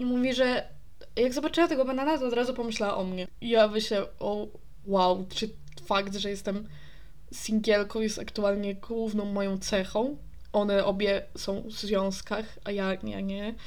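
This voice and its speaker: Audible room echo around a woman's fairly high voice. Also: ordinary pitch variation, moderate pace. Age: 20s. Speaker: podcast host. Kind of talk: casual solo monologue. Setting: alone in her apartment. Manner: stream of consciousness, unplanned. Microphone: new USB microphone, distance unsure.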